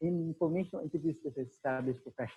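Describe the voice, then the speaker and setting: A man with a high pitch, a dark, mellow tone and ordinary pitch variation talks at a fairly quick pace. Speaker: career consultant. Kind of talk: webinar presentation. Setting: online webinar. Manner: fast.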